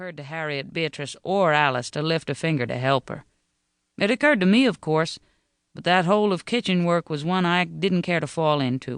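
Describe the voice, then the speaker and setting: An unremarkable speaking voice with ordinary pitch variation and big swings in loudness comes through with a dry, close sound and no echo. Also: man, fairly high pitch for a man. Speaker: audiobook narrator. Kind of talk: audiobook narration of historical fiction. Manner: wry, no-nonsense.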